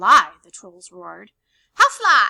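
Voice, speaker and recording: A woman in a put-on character voice. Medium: read story. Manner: broken, simple speech.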